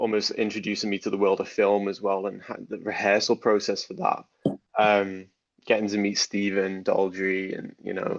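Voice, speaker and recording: Monotone and flat in intonation, a man with a Liverpool accent talks at a fairly low pitch. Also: moderate pace. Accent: Scouse (Liverpool). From Liverpool, England. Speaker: actor and dance teacher. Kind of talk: interview.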